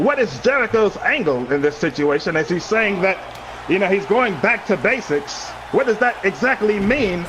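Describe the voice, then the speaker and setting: A man with a British accent speaks at a high pitch with very wide pitch swings. His loudness stays very even over noticeable background noise. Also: moderate pace. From Britain. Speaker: co-commentator. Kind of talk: mock live wrestling commentary.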